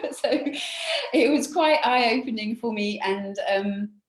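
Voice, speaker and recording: A woman speaks in a strong British accent. Her intonation is lively. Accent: British, still fairly strong. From England, UK. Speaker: conservation charity director. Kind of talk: interview.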